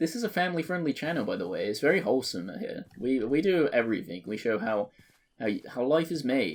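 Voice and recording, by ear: A man talks at a fairly quick pace. His pitch is medium, with big pitch swings.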